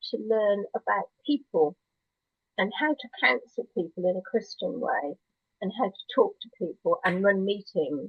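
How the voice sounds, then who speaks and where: A woman speaks at a fairly slow pace in a somewhat breathy voice, with very wide pitch swings and big swings in loudness. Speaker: church member sharing her life story. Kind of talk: testimony.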